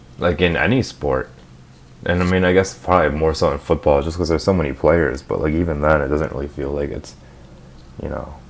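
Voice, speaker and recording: The speaker has a Minnesota accent and a fairly even intonation. The pace is fairly quick. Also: man. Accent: Minnesotan American. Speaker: podcast co-host. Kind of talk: casual chat. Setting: in a car.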